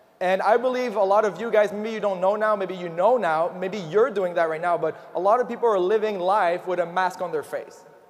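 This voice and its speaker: Speaking at a fairly quick pace in a French Canadian accent, a man sounds animated, with ordinary pitch variation. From Quebec, Montreal. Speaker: motivational speaker. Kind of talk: motivational speech. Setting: stage with audience.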